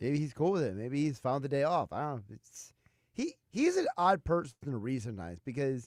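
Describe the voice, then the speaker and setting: In a dry, close recording with no echo, a man with a fairly high pitch speaks at a fairly quick pace with lively intonation. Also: very clean recording, silent background. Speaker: sports radio co-host. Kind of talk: casual chat. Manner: subdued, low-energy; very chill.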